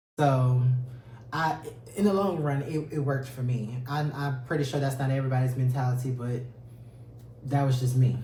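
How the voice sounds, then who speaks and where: Amid noticeable background noise and audible room echo, a man speaks at a moderate pace with fairly even intonation and long, frequent pauses. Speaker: podcast co-host. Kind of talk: casual chat.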